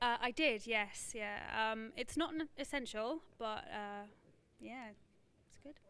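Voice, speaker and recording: Speaking with an English accent, a woman with a fairly high pitch and a bright, sharp tone talks at a fairly slow pace with ordinary pitch variation, long, frequent pauses and big swings in loudness. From London, England. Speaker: volunteer camera operator. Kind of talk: casual interview.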